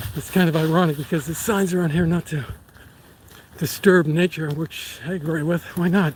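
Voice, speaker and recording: With an American accent, a man talks at a moderate pace in a high pitch, his intonation fairly even over noticeable background noise. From Boston area, Massachusetts. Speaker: vlogger, lawyer and Marine veteran. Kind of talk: live stream walking vlog. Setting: outdoors on a hiking trail. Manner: casual, conversational.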